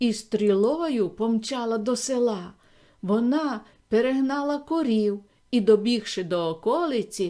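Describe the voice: Pitch varies in an ordinary way. The delivery is plain reading aloud.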